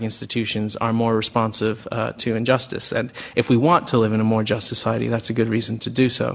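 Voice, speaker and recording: Very fast speech with an American accent. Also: man. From United States. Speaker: think tank director. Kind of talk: panel discussion. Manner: halting.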